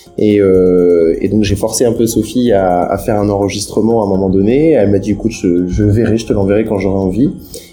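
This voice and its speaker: With music in the background, a man with a fairly low voice speaks at a fairly quick pace. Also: fairly even intonation. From France, Loir-et-Cher. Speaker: music producer. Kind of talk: interview. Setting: remote internet call. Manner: halting, many repetitions.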